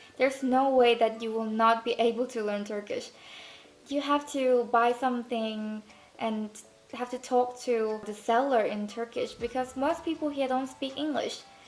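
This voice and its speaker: The voice moves at a moderate pace with fairly even intonation against noticeable background noise. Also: woman, high pitch for a woman. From Thailand. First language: Thai. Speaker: student vlogger. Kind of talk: casual vlog talk.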